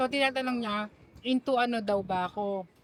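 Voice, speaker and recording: A woman's high-pitched voice with ordinary pitch variation amid noticeable background noise. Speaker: vlogger. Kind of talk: casual chat. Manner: usually loud, quieter here.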